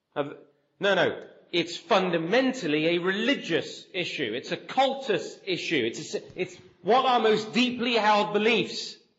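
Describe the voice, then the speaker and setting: Room echo is audible as a man talks fairly slowly. His high voice carries lively intonation. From southwest England, near Bath. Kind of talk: conference talk. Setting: conference hall with audience.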